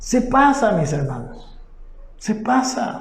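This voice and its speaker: Noticeable background noise and audible room echo surround the recording. A man speaks at a very slow pace with an extremely high pitch. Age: 60s. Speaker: pastor. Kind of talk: sermon. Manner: halting.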